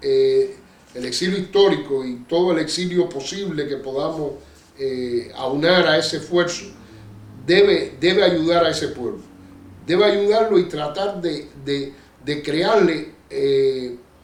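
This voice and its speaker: A man speaks very slowly in a high voice with ordinary pitch variation, over noticeable background noise and audible room echo. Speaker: Cuban exile activist, bookseller. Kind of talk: interview.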